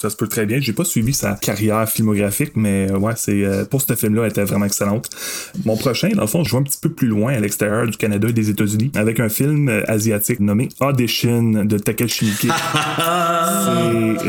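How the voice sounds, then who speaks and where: A man with an unremarkable speaking voice, medium pitch, ordinary pitch variation, very even loudness and a moderate pace. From Quebec, Masson-Angers near Gatineau. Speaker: guest horror film fan. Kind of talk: casual chat.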